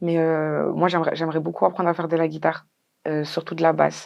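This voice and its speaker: A fairly quick pace over a quiet background. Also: woman. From France, Lyon. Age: 20s. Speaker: singer and rapper. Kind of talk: interview. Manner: hesitant, many fillers.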